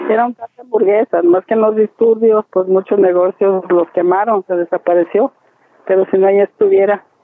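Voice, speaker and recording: In a plain, everyday voice, a woman speaks at a moderate pace and medium pitch with fairly even intonation. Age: 60s. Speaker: plant nursery owner. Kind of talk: interview.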